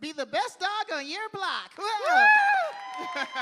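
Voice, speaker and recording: A man puts on a character voice, pitched extremely high and delivered at a very slow pace. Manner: cheerful, cartoonish, encouraging.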